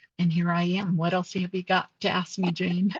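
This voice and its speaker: A woman's fairly low, somewhat breathy voice, dry and close with no echo. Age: 60s. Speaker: nurse and bariatric surgery patient. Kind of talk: interview testimony.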